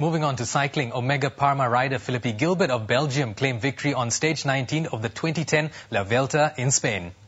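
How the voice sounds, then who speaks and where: A man talks in a plain, everyday voice at medium pitch with ordinary pitch variation. His pace is fairly quick, with hardly any pauses. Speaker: news presenter; voice actor. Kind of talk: TV sports news read. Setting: studio.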